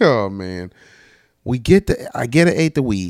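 Animated in tone, a man speaks with very wide pitch swings in a very clean recording with a dry, close sound, no echo and a silent background. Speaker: podcaster. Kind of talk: casual storytelling.

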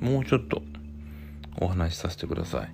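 A man speaks in a relaxed tone. Music plays in the background. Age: 40s. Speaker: podcast host. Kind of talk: casual solo talk while drinking. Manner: relaxed, hesitant with fillers.

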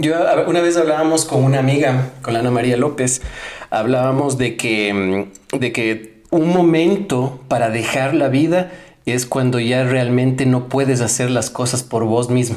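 Against noticeable background noise, a man talks at a fairly slow pace in a medium pitch with ordinary pitch variation and very even loudness. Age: 30s. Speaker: podcast host. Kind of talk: casual chat. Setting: guest's home. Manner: halting.

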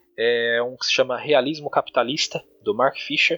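Male voice, bright and sharp in tone, at a moderate pace, recorded dry and close with no echo. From Brazil, São Paulo (Diadema, ABC Paulista). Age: 30s. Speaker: online influencer and law graduate student. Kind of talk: casual interview chat.

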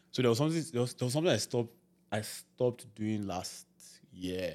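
With a Nigerian accent, a man talks fairly quickly at a medium pitch, his tone dark and mellow and his pitch variation ordinary. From Nigeria, Ibadan. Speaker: podcast host. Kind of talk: casual chat.

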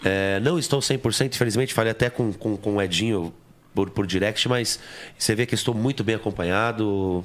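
A plain, everyday voice from a man, fairly low-pitched, at a moderate pace with very even loudness and ordinary pitch variation, on a very clean recording with a silent background. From São Paulo, East Zone. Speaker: pagode singer. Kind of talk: casual chat.

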